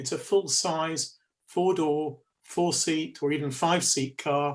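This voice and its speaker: A man with a northern English accent speaks at a fairly high pitch. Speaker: electric vehicle expert panelist. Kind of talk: webinar presentation.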